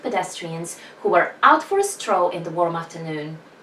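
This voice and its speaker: Speaking at a moderate pace with a non-native accent, the voice makes very wide pitch swings over noticeable background noise. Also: woman. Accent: non-native English accent, described as weird. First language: not English. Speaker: author vlogger. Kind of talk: reading aloud own fiction.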